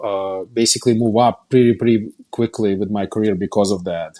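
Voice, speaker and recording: With a Russian accent, a man talks in a dark, mellow tone using ordinary pitch variation. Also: dry, close sound with no echo. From Russia (Kazan). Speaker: company founder and CEO. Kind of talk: interview. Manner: halting, many repetitions.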